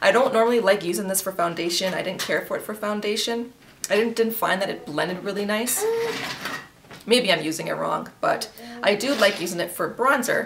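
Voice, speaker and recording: A woman speaks at a fairly quick pace, with noticeable background noise behind her. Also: ordinary pitch variation. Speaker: beauty vlogger. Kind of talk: makeup tutorial chat. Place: home room. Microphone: camera far.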